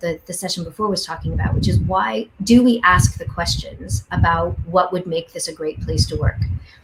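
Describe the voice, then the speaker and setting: With a Canadian accent, the speaker talks at a moderate pace over noticeable background noise. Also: woman. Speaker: education researcher. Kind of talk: panel discussion.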